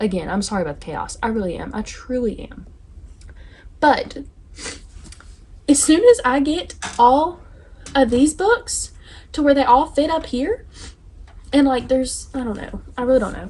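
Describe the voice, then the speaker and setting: In a Southern US accent, a high-pitched woman speaks with very wide pitch swings, big swings in loudness, and long, frequent pauses over noticeable background noise. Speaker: book YouTuber. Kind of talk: casual vlog chat. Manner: fast; animated.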